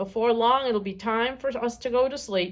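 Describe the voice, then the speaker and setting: A croaky, put-on character voice moves at a moderate pace. The recording is very clean, with a silent background. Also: woman. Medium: read story.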